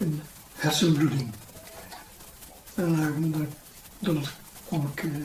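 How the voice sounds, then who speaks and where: Long, frequent pauses break up the speech against noticeable background noise. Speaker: folk band member. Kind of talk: interview.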